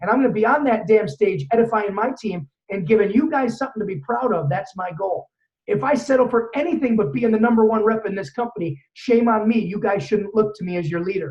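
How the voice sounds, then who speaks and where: A man talks loudly at a fairly quick pace. His high pitch rises and falls with lively intonation. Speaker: network marketing trainer. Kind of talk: motivational training talk. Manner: fast.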